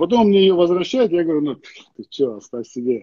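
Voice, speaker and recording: Against a quiet background with a dry sound and no echo, a man speaks in a high pitch with very wide pitch swings and a dark, mellow tone. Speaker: sports journalist guest. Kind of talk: interview answer. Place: home room. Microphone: earbuds.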